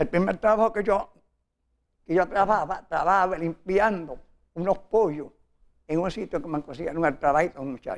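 A man with a high pitch speaks with long, frequent pauses. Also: ordinary pitch variation, moderate pace. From Puerto Rico, Morovis (rural); Puerto Rico. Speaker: interviewee telling his life story; interviewee. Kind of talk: interview, life story. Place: studio. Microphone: lapel.

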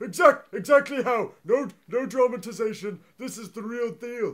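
Put-on character voice from a man, pitch extremely high, pace moderate. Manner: flustered, stammering.

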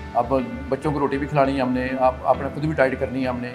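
A man is speaking while clear music sounds behind him. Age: 60s. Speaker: bodybuilder. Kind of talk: interview answer. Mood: earnest, appealing for help. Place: gym. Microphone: handheld.

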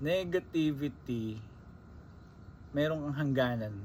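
A man of medium pitch talks at a fairly slow pace with ordinary pitch variation. His voice is somewhat breathy. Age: 20s. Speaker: vlogger. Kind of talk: casual monologue. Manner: conversational.

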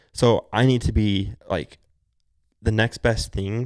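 Against a quiet background, a man speaks fairly slowly with fairly even intonation. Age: 20s. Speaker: stepfather and refinery worker; podcast guest. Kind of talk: casual chat. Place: home room. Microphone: handheld.

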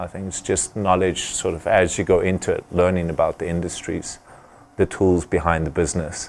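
A man talks at a moderate pace. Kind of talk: interview answer. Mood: relaxed, friendly. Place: gym. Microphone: lapel.

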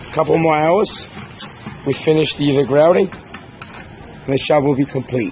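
The sound is dry, with no echo and light background noise. A man talks at a moderate pace. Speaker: contractor showing job site. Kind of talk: site walkthrough commentary. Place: street. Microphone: phone near.

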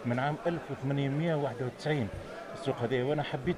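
Behind this man's speech there is noticeable background noise. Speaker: TV reporter. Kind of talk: on-location TV report. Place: market. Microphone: handheld.

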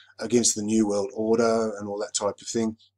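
On a very clean recording with a silent background, a man with an Australian accent speaks at a medium pitch. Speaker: YouTuber, commentator. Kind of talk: casual monologue video. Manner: halting, many fillers.

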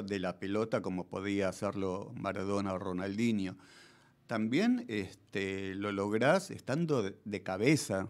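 With an ordinary speaking voice, a man talks at a fairly slow pace and a fairly low pitch. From Argentina. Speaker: radio host. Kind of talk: radio interview. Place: studio. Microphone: studio mic.

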